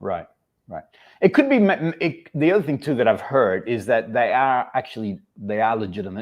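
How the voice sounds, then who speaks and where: At a moderate pace and medium pitch, a man with an Australian accent moves through very wide pitch swings. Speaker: fragrance channel host. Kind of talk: casual livestream chat. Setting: livestream.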